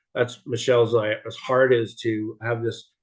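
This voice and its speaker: In a monotone, flat intonation, a man talks at a fairly slow pace. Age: 60s. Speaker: support group co-host. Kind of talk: casual livestream introduction. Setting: video call. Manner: halting.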